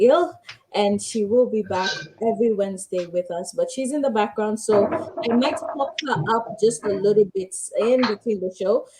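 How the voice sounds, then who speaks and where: Using an ordinary speaking voice, a woman with a fairly high pitch talks at a moderate pace with lively intonation. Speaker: talk show host. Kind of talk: live talk show.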